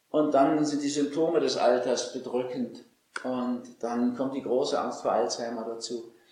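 Heard with audible room echo, a man speaks at a fairly slow pace. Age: 60s. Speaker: physician and author. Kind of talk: interview. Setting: at his home estate.

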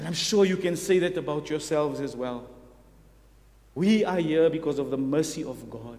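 Speaking at a moderate pace, a man with a fairly high voice uses ordinary pitch variation, and audible echo fills the room. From South Africa. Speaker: visiting preacher. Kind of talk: sermon. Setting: church. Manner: hesitant, with many fillers.

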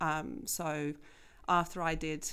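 A woman's voice with vocal fry comes through in a very clean recording with a silent background. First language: not English. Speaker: school STEM coordinator. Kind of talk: interview. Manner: casual, laughs often.

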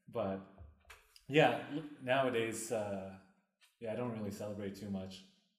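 A man speaks at a fairly slow pace with a fairly low pitch and fairly even intonation. Audible room echo surrounds the voice. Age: 30s. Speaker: podcast co-host. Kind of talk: casual chat.

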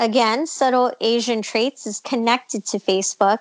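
A woman speaks at a fairly slow pace with an American accent, in an unremarkable speaking voice. Her pitch is fairly high, with ordinary pitch variation. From Los Angeles, California. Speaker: podcast co-host. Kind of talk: casual chat.

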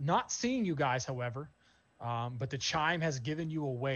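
Ordinary variation in pitch across an unforced reading voice

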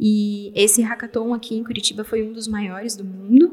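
A woman with an unremarkable speaking voice talks at a moderate pace and medium pitch. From Brazil, São Paulo area. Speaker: software developer. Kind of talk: interview.

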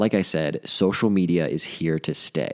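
No echo colors the dry, close sound. The background is silent and the recording very clean. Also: man. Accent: American. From US Midwest, central Ohio. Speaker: podcast host, marketing advisor. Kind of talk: scripted podcast monologue. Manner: upbeat, energetic.

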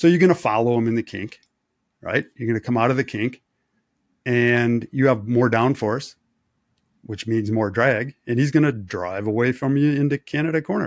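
A man with an unremarkable speaking voice speaks at a medium pitch and a moderate pace, with ordinary pitch variation. The recording is very clean, with a silent background and a dry, close sound with no echo. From Wisconsin. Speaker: race engineer. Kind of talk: casual chat.

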